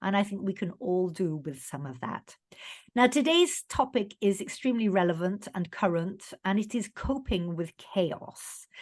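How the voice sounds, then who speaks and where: A woman speaks in a normal speaking voice at a medium pitch and moderate pace, with lively intonation. The background is quiet. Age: 50s. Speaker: podcast host. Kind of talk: interview. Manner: conversational.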